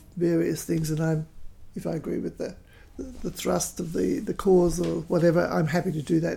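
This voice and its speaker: This woman has a dark, mellow tone and a fairly low pitch. She speaks with an Australian accent and fairly even intonation. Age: 70s. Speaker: folk singer. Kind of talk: casual chat.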